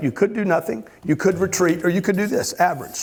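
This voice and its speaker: Over noticeable background noise, a man speaks at a very fast pace in an animated tone with ordinary pitch variation. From Louisiana. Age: 60s. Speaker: motivational speaker. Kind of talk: motivational talk.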